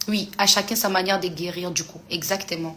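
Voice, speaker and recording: Here a woman speaks at a fairly low pitch. Her pace is moderate. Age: 30s. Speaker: influencer answering fans on a live. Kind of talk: live stream chat reading comments. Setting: live stream.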